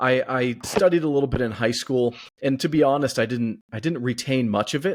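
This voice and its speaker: The speaker has an American accent, talks at a fairly quick pace with ordinary pitch variation, and has an ordinary speaking voice. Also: man, medium pitch for a man. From California. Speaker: podcast host. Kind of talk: podcast interview.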